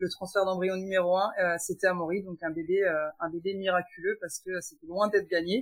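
Speaking at a fairly quick pace in a medium pitch, a woman keeps a monotone, flat intonation while her loudness swings widely. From France. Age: 40s. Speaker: guest sharing perinatal loss story. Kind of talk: testimony.

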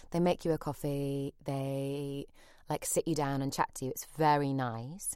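In a very clean recording with a silent background, a woman with a very deep, low pitch and warm tone speaks at a fairly slow pace with monotone, flat intonation. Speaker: podcast host. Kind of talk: casual interview chat. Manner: warm, laughing, chatty.

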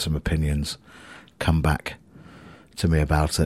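A man with a very deep, low pitch and a somewhat breathy voice talks at a moderate pace. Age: 40s. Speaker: musician and podcaster. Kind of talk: casual monologue. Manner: rambling, hesitant with fillers.

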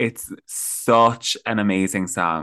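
A man with an Irish accent has a bright, sharp tone, recorded with a dry, close sound and no echo. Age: 20s. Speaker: content creator. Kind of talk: casual chat.

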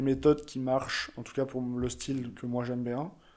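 At a moderate pace, a man speaks with a medium pitch and a dark, mellow tone in a very clean recording with a silent background. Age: 20s. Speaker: photographer and young entrepreneur. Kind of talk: casual interview chat.

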